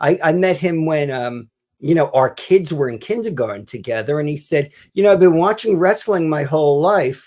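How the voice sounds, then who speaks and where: At a moderate pace, a man's voice swings very widely in pitch over a very clean recording with a silent background. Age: 60s. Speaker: author and wrestling writer. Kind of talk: podcast interview.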